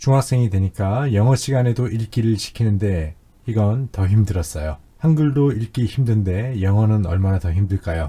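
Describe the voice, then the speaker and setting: A man's somewhat breathy, fairly low voice with a dark, mellow tone, lively intonation and hardly any pauses. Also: moderate pace, very even loudness. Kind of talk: testimony.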